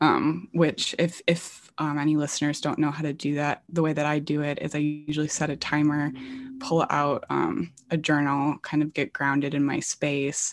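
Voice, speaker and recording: Against a quiet background, a woman with a very deep, low pitch speaks with an American accent in a monotone, flat intonation. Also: moderate pace. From rural Southwest Michigan, US. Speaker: podcast host and poet. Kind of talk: casual chat.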